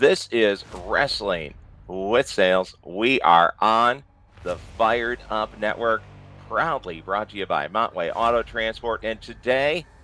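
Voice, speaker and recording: Over music in the background, a man at a medium pitch speaks with lively intonation. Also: fairly slow pace. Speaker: podcast host. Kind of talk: interview host talk.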